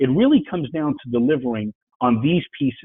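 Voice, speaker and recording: The speaker has a New York accent and talks at a fairly quick pace. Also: man. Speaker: business speaker, IT entrepreneur. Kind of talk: webinar presentation. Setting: webinar. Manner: fast.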